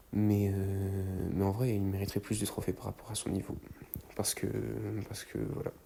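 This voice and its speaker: The speaker is a soft-spoken man. Noticeable background noise can be heard. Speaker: gaming YouTuber. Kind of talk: gameplay voice-over commentary. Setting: at home at night, people sleeping. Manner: hesitant, many fillers.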